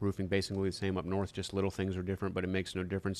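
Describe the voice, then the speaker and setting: A man is speaking here. His pitch sits fairly low. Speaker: roofer live-streaming. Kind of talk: live stream Q&A chat. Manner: casual, hesitant with fillers.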